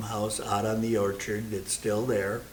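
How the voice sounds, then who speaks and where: A man with an American accent speaks at a fairly low pitch in a monotone, flat intonation. Room echo is audible, and background noise is noticeable. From Iowa, US Midwest. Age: 80s+. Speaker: longtime parishioner. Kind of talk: interview reminiscence. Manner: halting with many fillers.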